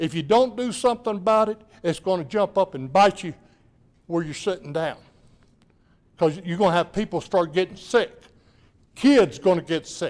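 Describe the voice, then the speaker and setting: The speaker goes at a moderate pace with long, frequent pauses. Pitch variation is ordinary. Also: man, high pitch for a man. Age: 70s. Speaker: public commenter. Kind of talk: public comment at council meeting. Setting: city council meeting.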